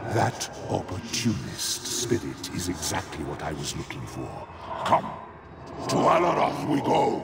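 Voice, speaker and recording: Over loud background noise, a man in a put-on character voice speaks at a fairly slow pace with fairly low pitch. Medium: machinima. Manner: imperious, menacing.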